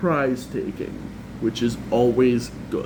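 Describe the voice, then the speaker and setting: Noticeable background noise and audible room echo fill the clip. A man speaks at a medium pitch. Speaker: card game content creator. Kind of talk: tutorial.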